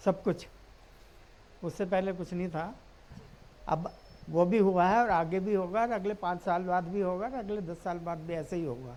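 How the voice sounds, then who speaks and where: A woman's dark, mellow voice at medium pitch and a moderate pace, with ordinary pitch variation and long, frequent pauses. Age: 70s. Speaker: voter, retired official. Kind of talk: street interview.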